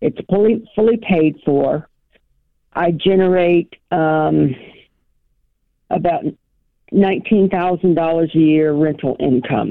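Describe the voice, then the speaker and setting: Speaking very slowly with long, frequent pauses, a woman keeps a fairly low pitch, ordinary pitch variation and very even loudness. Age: 60s. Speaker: caller. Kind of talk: call-in advice question.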